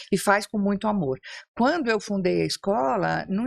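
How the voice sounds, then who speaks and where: A woman's medium-pitched voice at a moderate pace with very wide pitch swings. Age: 70s. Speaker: psychologist and school founder. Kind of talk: podcast interview. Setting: studio table.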